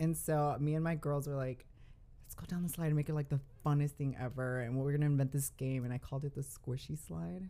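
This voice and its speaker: A woman talks very fast in a very deep, low voice with a dark, mellow tone. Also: ordinary pitch variation. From Texas, Dallas. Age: 20s. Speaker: drag performer. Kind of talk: casual chat.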